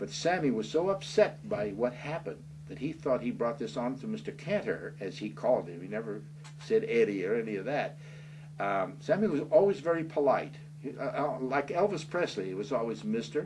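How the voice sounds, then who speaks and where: A man speaks at a fairly quick pace with an American accent, his pitch fairly high and swinging very widely. Vocal fry runs through his voice. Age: 70s. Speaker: author. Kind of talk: interview. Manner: halting.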